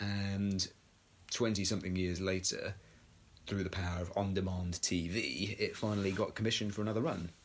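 The man's loudness stays very even as he speaks with an English accent and fairly even intonation. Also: fairly low pitch for a man, moderate pace. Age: 30s. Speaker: podcast co-host. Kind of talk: casual chat.

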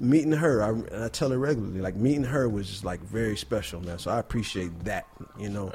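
The speaker has an American accent and lively intonation at a fairly quick pace. Noticeable background noise sits behind the voice. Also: man, medium pitch for a man. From Buffalo, New York. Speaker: artist and educator. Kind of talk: casual interview. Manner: relaxed, conversational.

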